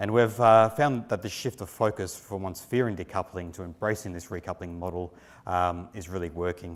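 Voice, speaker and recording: A man in an Australian accent speaks with a very deep, low pitch, ordinary pitch variation and big swings in loudness on a very clean recording with a silent background. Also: moderate pace. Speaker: company executive presenting at industry conference. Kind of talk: conference presentation. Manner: frequent filler words (um, uh).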